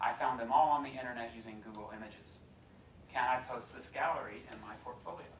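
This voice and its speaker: A man with an American accent speaks at a very fast pace and medium pitch, with fairly even intonation and big swings in loudness, amid audible room echo and noticeable background noise. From US South, Georgia. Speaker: law lecturer. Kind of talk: lecture.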